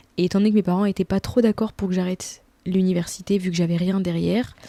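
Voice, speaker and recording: In a dry, close recording with no echo, a woman talks at a medium pitch with a dark, mellow tone and flat, monotone intonation. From France. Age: 20s. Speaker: YouTuber. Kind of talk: casual vlog Q&A. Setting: at home in bed. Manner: casual, hesitant with many fillers.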